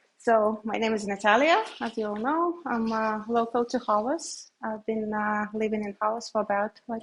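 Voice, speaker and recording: A woman speaks with a Belarusian accent at a fairly slow pace. Her voice sits fairly high. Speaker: beekeeper and software engineer. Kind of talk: presentation to a library audience. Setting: public library talk with audience. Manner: halting, many fillers.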